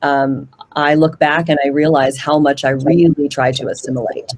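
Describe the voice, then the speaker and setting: A woman's very deep, low voice keeps fairly even intonation at a moderate pace. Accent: Pacific Northwest. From Washington State, US (Puyallup). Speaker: panelist. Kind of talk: panel discussion.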